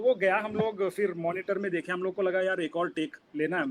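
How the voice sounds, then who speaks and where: A man with a high pitch talks at a moderate pace. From Udupi, coastal Karnataka, India. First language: Kannada (speaking Hindi). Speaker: film director. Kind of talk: interview, casual talk mixing Hindi and English.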